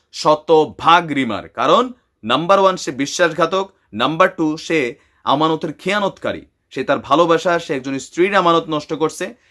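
A man speaks with a high pitch, ordinary pitch variation and a bright, sharp tone. The recording is very clean, with a silent background. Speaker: YouTuber, news commentator. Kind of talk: opinionated news commentary. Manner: animated.

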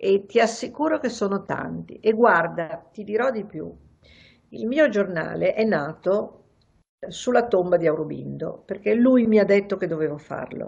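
A woman speaks with vocal fry at a fairly slow pace. The background is quiet. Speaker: journalist and writer; journalist. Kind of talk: interview. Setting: terrace. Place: home room. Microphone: video call.

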